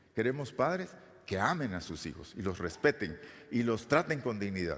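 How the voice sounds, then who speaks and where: With audible room echo, a man at a medium pitch talks at a moderate pace, his pitch swinging very widely. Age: 60s. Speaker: pastor. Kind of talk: sermon. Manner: halting.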